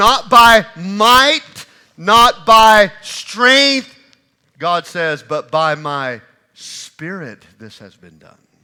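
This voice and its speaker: The voice is raised and projected with a bright, sharp tone, very wide pitch swings and big swings in loudness, moving at a very slow pace. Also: man, high pitch for a man. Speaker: pastor. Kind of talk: sermon preached to a congregation. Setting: church.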